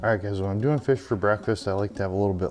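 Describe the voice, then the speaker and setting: Quiet and fairly low in pitch, a man speaks. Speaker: fishing video creator. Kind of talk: tutorial. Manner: quiet, lowered voice.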